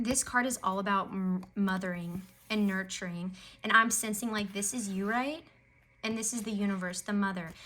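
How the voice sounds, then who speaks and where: Audible room echo surrounds a woman's medium-pitched voice at a moderate pace. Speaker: tarot reader. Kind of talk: tarot reading. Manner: animated.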